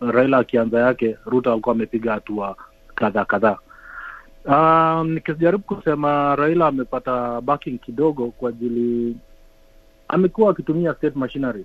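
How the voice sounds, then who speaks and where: At a moderate pace, a man speaks in a medium pitch with ordinary pitch variation. The sound is dry and close, with no echo. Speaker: Kenyan community member, political supporter. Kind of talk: panel discussion. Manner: halting.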